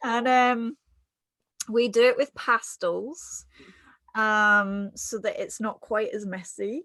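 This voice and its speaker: A woman with a southern English accent, very slow with long, frequent pauses, in a very clean, dry, close recording with a silent background and no echo. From England. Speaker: artist and yoga teacher. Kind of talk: casual interview chat.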